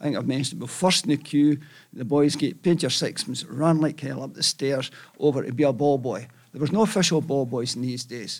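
A man with a Scottish accent, fairly high-pitched, with ordinary pitch variation and a fairly quick pace. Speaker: football fan. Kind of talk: storytelling.

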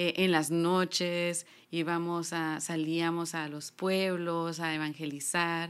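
Speaking very slowly in a monotone, flat intonation, a woman with a fairly low pitch is heard in a very clean recording with a silent background. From Honduras, San Pedro Sula. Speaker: gospel singer. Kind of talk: testimony.

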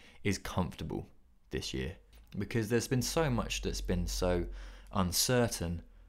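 At a moderate pace, a man speaks in a medium pitch, with long, frequent pauses. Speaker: graphic design podcast host. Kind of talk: solo podcast monologue. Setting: recording to camera. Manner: halting, many fillers.

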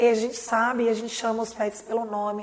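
There is noticeable background noise. The speech moves at a moderate pace. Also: woman. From Minas Gerais, Brazil (Lavras). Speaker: startup founder and CEO. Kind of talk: interview.

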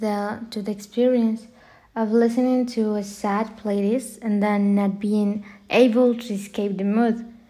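A woman with a fairly high pitch and a dark, mellow tone speaks in a monotone, flat intonation. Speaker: podcast host. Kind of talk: solo podcast talk.

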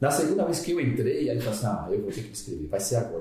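A man's voice carries an audible room echo. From Bahia interior, Brazil. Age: 50s. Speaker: fitness program participant. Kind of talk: casual chat. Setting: office.

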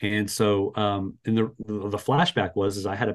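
Here is a man with an American accent and an unremarkable speaking voice. He talks at a moderate pace with a fairly low pitch. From Las Vegas, Nevada. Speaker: church bookkeeping business owner. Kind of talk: interview conversation. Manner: many filler words (uh, um).

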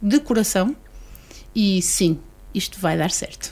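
A woman's voice with ordinary pitch variation. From Portugal, Vila Nova de Gaia. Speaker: association board member. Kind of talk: radio interview.

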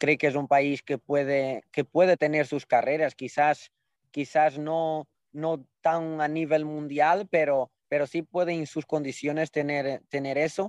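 Recorded dry and close with no echo and a quiet background, a man with a fairly high pitch speaks at a fairly slow pace in a monotone, flat intonation. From Portugal. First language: Portuguese (speaking Spanish). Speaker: jockey. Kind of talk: casual chat.

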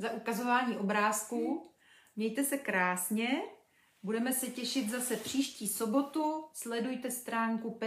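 A natural reading voice is heard throughout.

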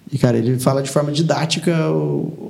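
A man speaks at a medium pitch. Noticeable background noise and audible room echo are present. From Taubaté, São Paulo state, Brazil. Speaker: former state legislator. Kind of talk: casual interview.

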